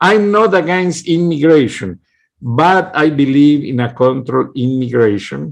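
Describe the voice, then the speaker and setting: A man with a strong Mexican accent, fairly high in pitch, lively in intonation and fairly slow in pace. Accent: heavy Mexican Spanish accent in English. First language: Kickapoo, then Spanish. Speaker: political commentator. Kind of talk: political monologue. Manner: impassioned.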